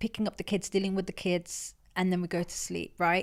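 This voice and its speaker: This woman has an East Midlands accent and a medium pitch. She talks at a very fast pace. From England, Leicester. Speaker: entrepreneur. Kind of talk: podcast interview. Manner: loud; animated.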